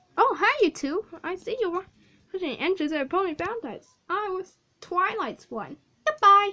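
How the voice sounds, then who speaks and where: An extremely high-pitched, put-on character voice, delivered at a moderate pace. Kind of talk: fan-made character dialogue.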